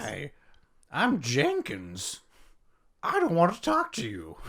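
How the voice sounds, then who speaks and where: A put-on character voice at a fairly slow pace. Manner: grumpy, unwilling.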